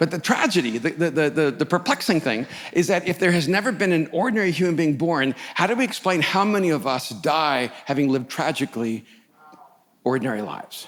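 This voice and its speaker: A man talks at a fairly quick pace with an American accent. His pitch is fairly high and his intonation lively. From El Salvador, moved to US at 4-5. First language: Spanish. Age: 60s. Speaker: pastor. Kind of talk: sermon. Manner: halting with frequent repetitions.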